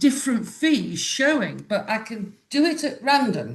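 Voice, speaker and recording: A woman's high voice in a British accent, fairly slow in pace and lively in intonation. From UK. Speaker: Airbnb host asking a question. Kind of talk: live Q&A question.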